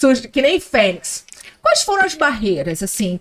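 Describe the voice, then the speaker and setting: The pitch sits high for this woman. She talks at a fairly quick pace. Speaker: podcast host. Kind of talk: casual chat.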